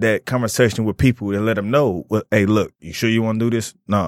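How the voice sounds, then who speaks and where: At a very fast pace, a man with an American accent talks at medium pitch, recorded very cleanly against a silent background with a dry, close sound and no echo. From Detroit area. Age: 30s. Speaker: chef. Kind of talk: casual chat.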